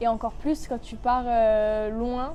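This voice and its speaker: With music in the background, a woman speaks at a high pitch. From southwest France, Bordeaux countryside. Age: 20s. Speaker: university student. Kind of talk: testimony. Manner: casual, hesitant with many fillers.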